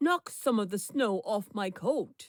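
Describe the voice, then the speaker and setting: The pace is fairly slow. It's a put-on character voice. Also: woman. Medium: read story.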